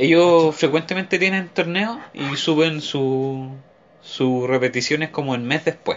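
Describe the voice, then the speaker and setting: In a Chilean accent, a man talks at a fairly slow pace. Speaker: podcast co-host. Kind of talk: casual chat.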